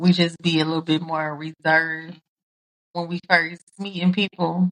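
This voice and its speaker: A woman speaks at a moderate pace with a fairly low pitch, her voice dry and close with no echo. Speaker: podcast co-host. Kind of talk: casual chat. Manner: loud.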